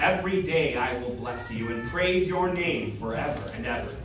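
A man speaks at a moderate pace. There is audible room echo and light background noise. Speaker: pastor leading worship. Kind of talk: liturgical reading. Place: church. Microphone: camera far.

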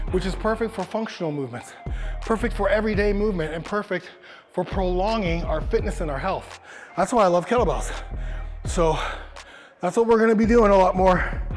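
Faint music sits in the background as a man with a high pitch talks at a fairly quick pace, using ordinary pitch variation and long, frequent pauses. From Canada. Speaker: fitness coach leading a workout video. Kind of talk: workout tutorial instruction. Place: gym. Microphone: lapel.

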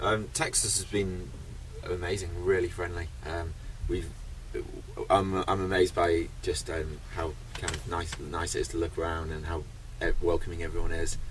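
Delivered at a moderate pace with long, frequent pauses, the speech has a dry sound with no echo and noticeable background noise. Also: man, very deep, low pitch for a man. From UK. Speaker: record-breaking traveller. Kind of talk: interview. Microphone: phone near.

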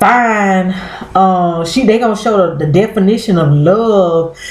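Audible room echo follows this woman as she talks. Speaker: vlogger. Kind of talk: casual vlog chat. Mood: exasperated, opinionated. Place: home room. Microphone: webcam.

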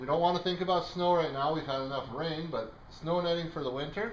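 With light background noise and audible room echo, a man talks at a fairly quick pace in a high voice with ordinary pitch variation. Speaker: auctioneer. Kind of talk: casual product walkthrough commentary. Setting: in-person at the auction house, walking around the items. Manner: casual and jokey, with some filler words. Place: shop. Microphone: phone near.

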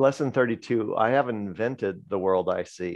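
The background is quiet. A man talks at a moderate pace. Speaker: spiritual study group participant; discussion group host. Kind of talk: casual group discussion. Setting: video call. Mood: calm, reflective. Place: home room. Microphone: video call.

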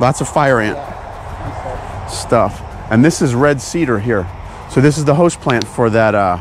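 Long, frequent pauses at a fairly slow pace, with dry sound, no echo, and noticeable background noise. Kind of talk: casual vlog chat. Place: open country. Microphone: phone near.

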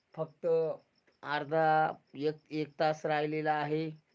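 A man's fairly high-pitched voice. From rural Pune district, Maharashtra (Junnar area). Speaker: YouTuber, farming video creator. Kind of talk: late-night YouTube livestream chat. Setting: livestream at home at night.

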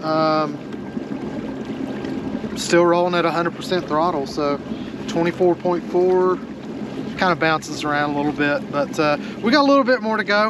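A man talks at a moderate pace with a fairly high pitch and ordinary pitch variation. His speech has long, frequent pauses, and background noise is clearly audible.

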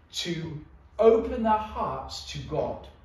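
Noticeable room echo hangs around the man's speech. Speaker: preacher. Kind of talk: sermon. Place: church. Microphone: camera far.

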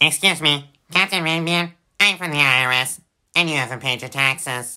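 The voice has a low-to-middle pitch and moves at a moderate pace. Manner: officious, deadpan.

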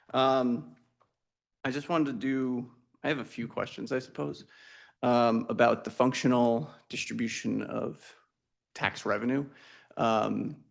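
A man's medium-pitched voice at a fairly slow pace, with ordinary pitch variation, long and frequent pauses, and a quiet background. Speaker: resident making public comment. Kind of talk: public comment at council meeting. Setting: town hall meeting. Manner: loud.

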